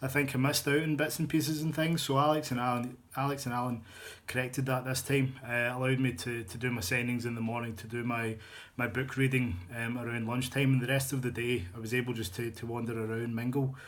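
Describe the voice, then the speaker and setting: A man's medium-pitched voice in a strong Glaswegian accent, very fast and fairly even in intonation, with audible room echo. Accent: thick Glaswegian Scottish. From Scotland, Glasgow. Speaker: novelist, fan fiction author. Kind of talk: casual video blog. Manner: hesitant, many fillers and repetitions.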